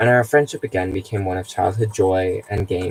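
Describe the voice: The clip features plain reading aloud.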